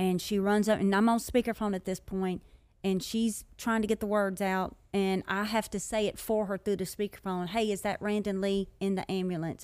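In a very clean recording with a silent background, a woman with an American accent speaks at a medium pitch in a flat monotone. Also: moderate pace. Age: 40s. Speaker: mother sharing her life story. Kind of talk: interview testimony.

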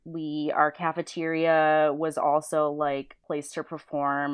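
A woman's very deep, low voice in a Western New York accent, monotone and flat, at a fairly slow pace. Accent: Western New York (Inland North) American. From western New York (Niagara Falls). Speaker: storyboard artist. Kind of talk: casual chat.

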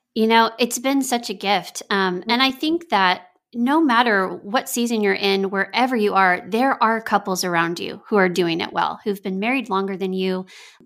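A woman with a plain, everyday voice and an American accent speaks at a fairly high pitch with ordinary pitch variation. Her moderate pace leaves hardly any pauses. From Texas. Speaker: pastor and marriage author. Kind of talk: interview.

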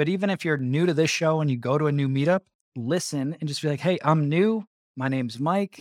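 Recorded with a dry, close sound and no echo, a man with a plain, everyday voice talks at a fairly quick pace, his fairly high pitch showing ordinary variation. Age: 30s. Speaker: podcast host, real estate investor. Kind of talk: casual interview.

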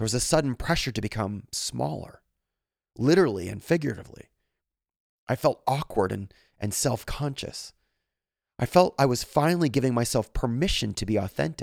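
A man at medium pitch with lively intonation, vocal fry, a fairly quick pace and long, frequent pauses, on a very clean recording with a silent background and a dry, close sound with no echo. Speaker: podcast host reading stories. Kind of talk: reading aloud.

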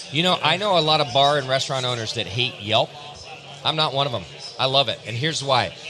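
A man speaks at a very fast pace and a fairly high pitch, with ordinary pitch variation. Noticeable background noise sits behind him. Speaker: podcast host. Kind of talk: casual chat. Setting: live at a convention.

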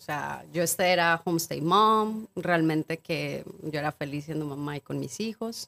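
A woman speaks in a plain, everyday voice at a fairly low pitch and fairly slow pace, with ordinary pitch variation. The recording is very clean with a silent background and a dry, close sound with no echo. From Mexico, Acapulco. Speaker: cacao ceremony guide, businesswoman. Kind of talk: casual chat.

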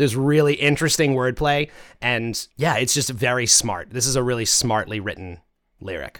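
A man's plain, everyday voice at a medium pitch and a moderate pace, with ordinary pitch variation. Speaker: podcast host. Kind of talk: casual chat about a song. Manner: friendly, conversational.

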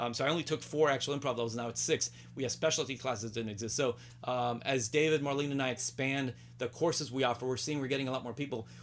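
A man at a medium pitch talks very fast with vocal fry and fairly even intonation on a very clean recording with a silent background. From Puerto Rico and New Jersey, Cuban family. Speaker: improv comedian and teacher. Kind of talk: casual chat. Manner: halting.

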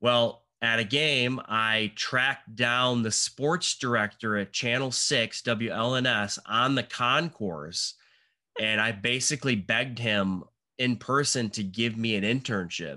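In an unremarkable speaking voice with an American accent, a man talks at a fairly slow pace and medium pitch, with ordinary pitch variation, very even loudness and a quiet background. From Michigan. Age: 40s. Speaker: cinematographer. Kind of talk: casual chat.

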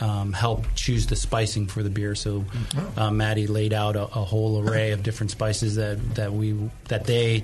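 A man speaks in a fairly low pitch with monotone, flat intonation at a moderate pace. Noticeable background noise runs under his voice. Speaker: brewer. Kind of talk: casual interview. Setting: studio. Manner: soft-spoken.

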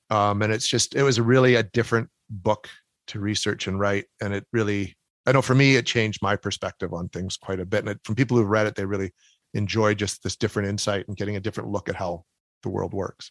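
Against a quiet background, a man with a Canadian accent talks very fast in a fairly low pitch, his intonation fairly even and the sound dry and close with no echo. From Canada. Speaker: author and paranormal investigator. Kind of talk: interview.

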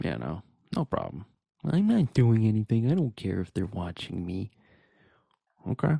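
In a dry, close sound with no echo, a man with a medium pitch and a dark, mellow, somewhat breathy tone speaks at a moderate pace, his pitch swinging very widely between long, frequent pauses. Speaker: podcast host. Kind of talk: casual chat.

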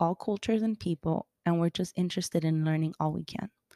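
A woman with a Miami accent, a fairly low pitch and a dark, mellow tone, talking at a fairly quick pace with fairly even intonation, in a dry, close sound with no echo on a very clean recording with a silent background. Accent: Miami American English. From Colombia, raised in Miami. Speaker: podcast host. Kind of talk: podcast trailer, scripted intro.

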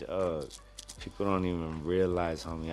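Audible room echo carries a man's very deep, low voice as he speaks with an American accent at a moderate pace in fairly even intonation. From Los Angeles, San Gabriel Valley. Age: 30s. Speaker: professional MMA fighter. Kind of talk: casual interview.

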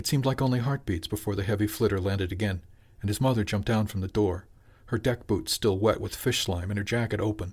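A man speaks at a very fast pace in a solemn tone, his fairly low voice somewhat breathy. His intonation stays fairly even. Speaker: audiobook narrator. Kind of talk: dramatic narration, fiction reading aloud. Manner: measured, hushed and solemn, with emotional weight.

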